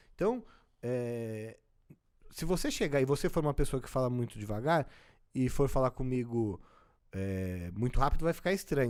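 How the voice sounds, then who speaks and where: Very wide pitch swings mark a man's medium-pitched voice on a very clean recording with a silent background. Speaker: social intelligence coach. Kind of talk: interview.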